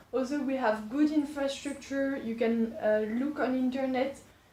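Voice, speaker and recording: In a slight French accent, a woman talks at a fairly slow pace with a high pitch and ordinary pitch variation, over noticeable background noise and audible room echo. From France, Poitiers. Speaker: business school student. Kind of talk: interview.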